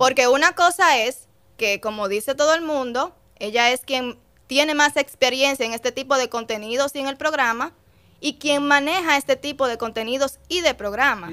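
Raised and projected, a woman's high voice has a bright, sharp tone, ordinary pitch variation and a moderate pace. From Dominican Republic, Puerto Plata; Dominican Republic. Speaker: radio host. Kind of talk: casual chat. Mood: firm, explanatory. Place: studio. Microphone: studio mic.

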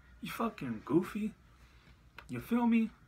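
A man with lively intonation. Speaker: vlogger answering a commenter. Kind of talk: casual vlog rant. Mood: annoyed, mocking, some laughs. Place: home room. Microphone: phone near.

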